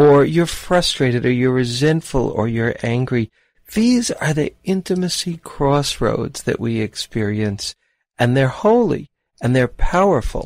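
A man with an unremarkable speaking voice, fairly high in pitch, with lively intonation on a very clean recording with a silent background. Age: 60s. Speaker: psychotherapist and dating podcast host. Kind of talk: solo podcast talk with guided visualization.

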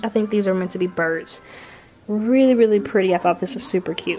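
Faint music plays in the background. Over it, a woman talks at a fairly quick pace. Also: ordinary pitch variation. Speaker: home vlogger. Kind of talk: casual vlog chat. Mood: excited, upbeat. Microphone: camera far.

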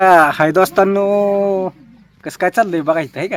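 Normal rise and fall of pitch, heard in close, dry sound free of echo. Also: man. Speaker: village vlogger. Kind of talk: casual vlog. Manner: animated.

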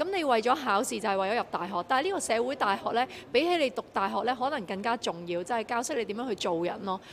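Lively intonation from a woman with fairly high pitch, over light background noise. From Hong Kong. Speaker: singer. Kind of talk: media interview. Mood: friendly, encouraging. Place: hall. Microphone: handheld.

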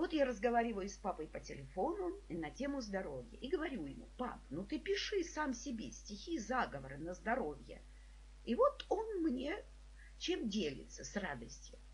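A woman talks at a moderate pace with audible echo from the room. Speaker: psychologist and trainer, video blogger. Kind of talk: personal tribute monologue. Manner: warm, emotional storytelling.

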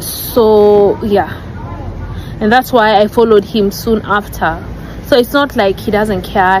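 Against noticeable background noise, a woman talks at a fairly slow pace with fairly even intonation in a dry sound with no echo. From Kenya, Nairobi; Kenya. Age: young. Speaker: wife of a YouTuber; vlogger. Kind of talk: personal video addressing rumours. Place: garden.

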